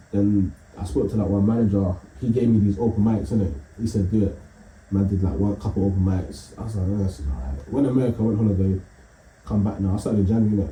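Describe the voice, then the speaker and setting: A man's very fast, fairly low-pitched speech with a London accent and ordinary pitch variation. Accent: London, multicultural London English. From East London. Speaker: comedian. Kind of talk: casual chat.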